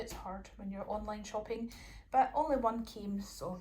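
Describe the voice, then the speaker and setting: A woman with a Scottish accent, at a fairly slow pace. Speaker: YouTuber. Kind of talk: grocery haul vlog. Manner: casual and chatty.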